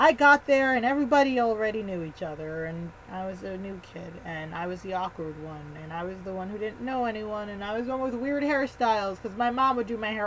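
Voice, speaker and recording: Against noticeable background noise, a woman with a fairly high pitch speaks at a fairly quick pace with hardly any pauses, lively intonation and big swings in loudness. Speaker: vlogger. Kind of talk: casual storytelling vlog. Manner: fast; animated.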